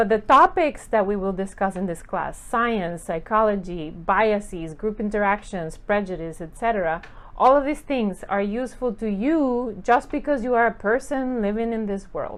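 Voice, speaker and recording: Speaking at a moderate pace with hardly any pauses, a woman with a Spanish accent uses lively intonation in a fairly high pitch over a quiet background. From Costa Rica. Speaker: professor. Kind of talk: course welcome talk.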